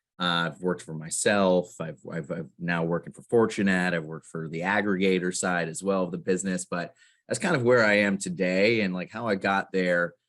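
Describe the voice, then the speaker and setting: Against a quiet background, a man with an American accent speaks at a fairly quick pace with hardly any pauses. His very deep, low pitch follows a fairly even intonation. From Florida. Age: 30s. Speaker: investment banking business development executive. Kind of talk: interview. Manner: hesitant, many fillers.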